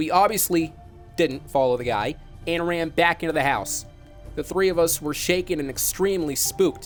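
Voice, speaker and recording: A man with a high pitch talks at a moderate pace. His pitch variation is ordinary, with music in the background. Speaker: online show broadcaster. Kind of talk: horror story narration.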